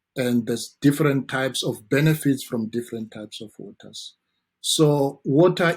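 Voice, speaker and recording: Somewhat breathy and medium in pitch, a man speaks with a strong South African accent on a very clean recording with a silent background. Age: 40s. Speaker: dentist. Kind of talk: interview.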